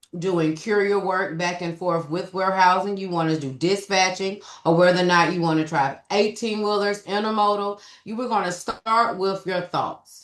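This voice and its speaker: A woman speaks at medium pitch with a Southern US accent. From US South. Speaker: business developer and trucking recruiter. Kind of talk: webinar presentation. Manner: fast.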